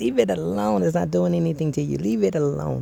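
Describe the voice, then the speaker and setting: A mumbling man's medium-pitched voice, relaxed and dark, mellow in tone, at a fairly quick pace. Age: 50s. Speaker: DJ vlogger. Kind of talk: casual vlog monologue. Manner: stuttering, mumbling.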